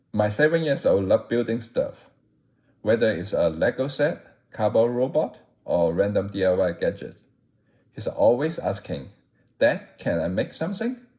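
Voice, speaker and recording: A man with a non-native accent, at a moderate pace, with long, frequent pauses. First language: not English. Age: 40s. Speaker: content creator. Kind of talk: scripted narration. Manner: not a natural speaker.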